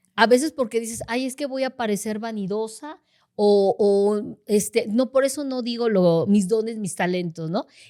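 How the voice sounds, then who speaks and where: A woman talks with ordinary pitch variation, taking a fairly slow pace. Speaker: intercessor in a church. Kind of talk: casual chat. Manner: loud.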